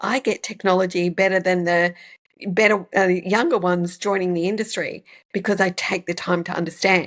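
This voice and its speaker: Against a quiet background, a woman speaks at a moderate pace with an Australian accent. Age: 60s. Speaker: podcast host and business coach. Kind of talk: podcast interview.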